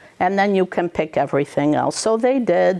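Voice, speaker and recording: A woman speaks in an unremarkable speaking voice. Her pitch is fairly low, with ordinary variation. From Montreal, Canada, Greek-speaking home. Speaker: teacher. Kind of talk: cooking demonstration with Q&A. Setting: school room with small audience of teachers. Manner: casual, many fillers.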